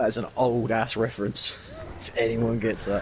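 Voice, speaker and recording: A man with an English accent at medium pitch, amid noticeable background noise. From England. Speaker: gamer podcaster. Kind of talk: casual chat.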